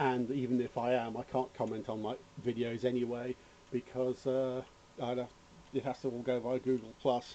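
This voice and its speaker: Here a man speaks at medium pitch and a moderate pace. His intonation is monotone and flat. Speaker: electronics hobbyist YouTuber. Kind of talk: casual rant; tutorial. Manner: rambling, hesitant with fillers.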